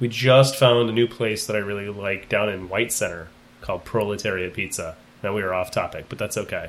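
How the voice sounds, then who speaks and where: An ordinary speaking voice from a man with an American accent, fairly low in pitch, with fairly even intonation and a fairly quick pace. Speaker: high school teacher and podcast host. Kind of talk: casual interview.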